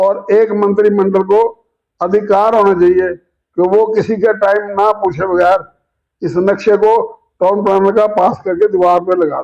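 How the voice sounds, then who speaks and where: This man's voice is high-pitched for a man and stays monotone, with flat intonation. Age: 80s+. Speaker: commentator. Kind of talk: opinion monologue.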